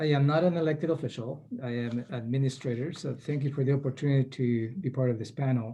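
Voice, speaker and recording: At a fairly quick pace, a man with a South American Spanish accent speaks in a medium pitch, somewhat breathy, with fairly even intonation against a quiet background. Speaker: county administrator. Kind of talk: panel introduction.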